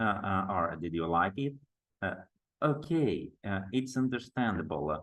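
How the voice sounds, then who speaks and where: Speaking at a fairly slow pace with long, frequent pauses, a man with a fairly low pitch and a strong Brazilian accent lets his pitch swing very widely. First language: Portuguese. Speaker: teacher trainer. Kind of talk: online workshop lecture. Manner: halting, many fillers.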